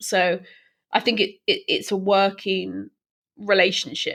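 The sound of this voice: A woman at a fairly slow pace, fairly bright in tone, with vocal fry and little pitch movement. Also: medium pitch for a woman.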